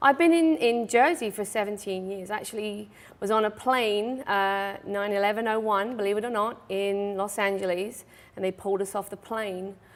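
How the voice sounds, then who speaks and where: A woman speaks at a moderate pace with an English accent. Her pitch sits in the middle range, with ordinary variation. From England, Suffolk (Mildenhall). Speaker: stable owner and riding instructor. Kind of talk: talk show interview. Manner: hesitant, many fillers.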